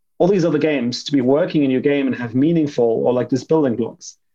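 A man in a German accent with a dark, mellow tone, a fairly high pitch and a very fast pace. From Germany. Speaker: game developer. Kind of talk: casual panel discussion. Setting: remote call from parents' home.

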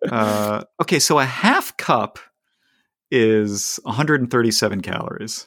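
In a very clean recording with a silent background, a man with a normal speaking voice talks at a fairly slow pace, his pitch medium and its variation ordinary. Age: 40s. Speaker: podcast host, runner. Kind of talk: casual chat.

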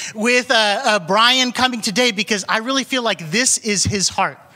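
Projecting a raised voice, a man speaks at a moderate pace. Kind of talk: church announcement. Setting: church.

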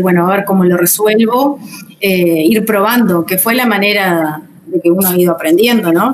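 A woman talks with lively intonation at a moderate pace, noticeable background noise running underneath. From Uruguay, Rocha. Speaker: English teacher. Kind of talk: interview. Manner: halting.

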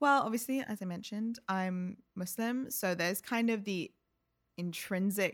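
A woman in a London accent, fairly quick, with ordinary pitch variation. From England, London (Ealing). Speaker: artist and gallery director. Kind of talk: casual interview chat.

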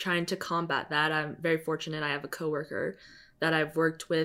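With an American accent, a woman speaks in a very deep, low pitch and fairly even intonation. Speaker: filmmaker. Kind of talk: casual interview. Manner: monotone.

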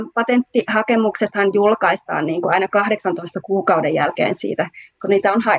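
The speech moves at a fairly slow pace with fairly even intonation. The sound is dry and close, with no echo. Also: woman. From Finland, Oulu. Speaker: patent attorney. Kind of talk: panel discussion. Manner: hesitant, many fillers.

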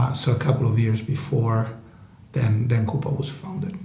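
A man speaks with an Italian accent. Noticeable background noise and audible room echo are present. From northern Italy. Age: 40s. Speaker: tech company co-founder. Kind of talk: interview.

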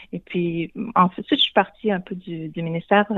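This woman's pitch is fairly low. She talks at a moderate pace. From Quebec, Shawinigan. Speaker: college director. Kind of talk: radio interview. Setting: phone call. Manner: halting.

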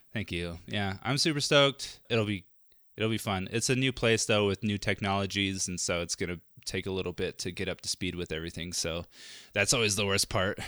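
A man with an unremarkable speaking voice talks at a fairly quick pace, with a fairly low pitch and ordinary pitch variation. The sound is dry and close with no echo, on a very clean recording with a silent background. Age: 20s. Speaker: film podcast host. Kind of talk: reading aloud; casual chat.

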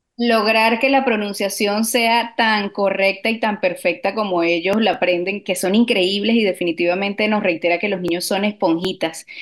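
Over noticeable background noise, a woman talks at a medium pitch and moderate pace with very even loudness, fairly even intonation and hardly any pauses. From Latin America. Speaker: radio producer. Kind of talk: radio talk show.

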